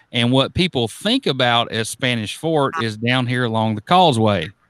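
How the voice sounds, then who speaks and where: On a very clean recording with a silent background, a man speaks at a moderate pace and medium pitch in an unremarkable speaking voice. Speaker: podcast host. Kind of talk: podcast interview questions.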